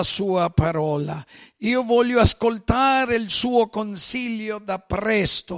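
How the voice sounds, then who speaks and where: With a Spanish accent, a man speaks very slowly at a high pitch with ordinary pitch variation against a quiet background. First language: Spanish (speaking Italian). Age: 50s. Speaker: pastor. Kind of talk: sermon. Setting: church. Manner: mixes Spanish and Italian. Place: church.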